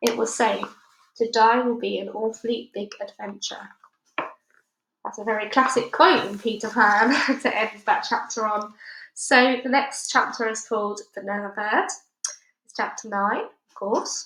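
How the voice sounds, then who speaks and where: A woman with a British accent speaks fairly slowly in a fairly high voice with fairly even intonation. Her loudness swings widely, and she takes long, frequent pauses. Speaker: audiobook reader. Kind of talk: casual chat; reading aloud. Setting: at home.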